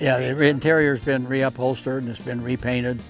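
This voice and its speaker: Music plays in the background as the voice moves with fairly even intonation. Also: man. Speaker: airplane owner. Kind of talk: interview answer. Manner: casual, hesitant.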